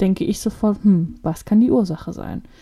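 A woman speaks at a moderate pace in a medium pitch, somewhat breathy, with a dark, mellow tone and ordinary pitch variation. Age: 20s. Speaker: podcast co-host. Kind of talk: casual chat.

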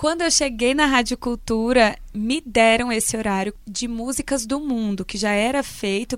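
A woman speaks at a moderate pace with a fairly high pitch and ordinary pitch variation. It is an unremarkable speaking voice. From Brazil, Minas Gerais (Vale do Jequitinhonha). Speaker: radio presenter. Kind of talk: interview.

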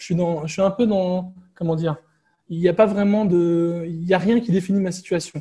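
At a moderate pace, a man speaks in a high, dark and mellow voice with fairly even intonation. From France. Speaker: digital nomad and IT security entrepreneur. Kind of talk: casual interview.

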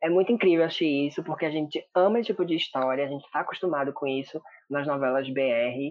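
A man's fairly high voice with ordinary pitch variation, a plain, everyday voice. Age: 20s. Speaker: drama reviewer, social media page owner. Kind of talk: casual chat.

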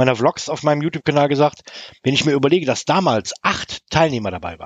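A man speaking at a very fast pace. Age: 50s. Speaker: woodworking YouTuber and community co-founder. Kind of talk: casual interview chat. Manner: halting, many fillers.

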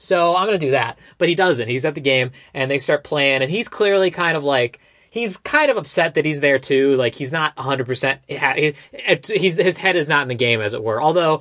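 An unremarkable speaking voice from a man, fairly high in pitch, at a fairly quick pace with ordinary pitch variation. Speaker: podcast host. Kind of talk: casual chat.

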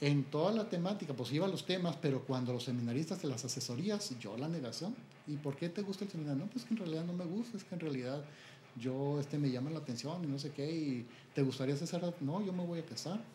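A man speaks very fast with fairly high pitch and lively intonation. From Mexico, Chihuahua. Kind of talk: interview testimony. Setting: at his home.

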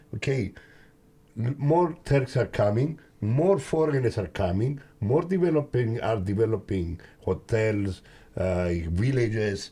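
A man's somewhat breathy, dark, mellow voice at a fairly slow pace with lively intonation. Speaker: podcast host. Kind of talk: casual interview.

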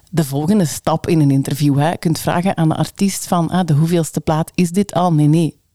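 A woman speaks at a very deep, low pitch with a dark, mellow tone, a moderate pace and fairly even intonation. The sound is dry and close with no echo. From Limburg, Belgium. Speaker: radio presenter and station manager. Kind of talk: interview conversation.

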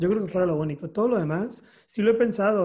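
The pace is very fast. The voice belongs to a man. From Mexico, Mexicali, Baja California. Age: 30s. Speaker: photographer. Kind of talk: interview. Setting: video call.

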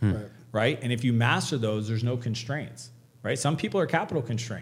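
A man with a Canadian accent, somewhat breathy, at a very fast pace. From Canada. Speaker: entrepreneur and author. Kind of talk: podcast interview.

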